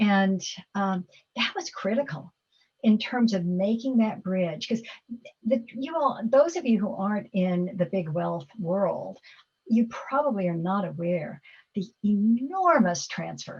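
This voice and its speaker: The voice is somewhat breathy, moving at a fairly slow pace with lively intonation. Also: woman. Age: 70s. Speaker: philanthropist. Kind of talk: Q&A talk. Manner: halting.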